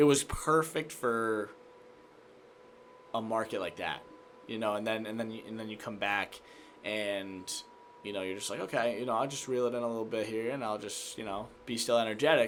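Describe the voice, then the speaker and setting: With an American accent, a man speaks at medium pitch and a moderate pace. His intonation stays fairly even, broken by long, frequent pauses. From Massachusetts, Worcester County. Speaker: sports reporter and anchor. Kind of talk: casual chat.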